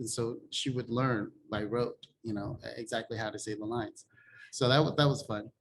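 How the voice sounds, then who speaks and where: A man of medium pitch speaks at a moderate pace, somewhat breathy. His intonation stays fairly even. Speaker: film director. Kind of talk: interview. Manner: conversational, many fillers.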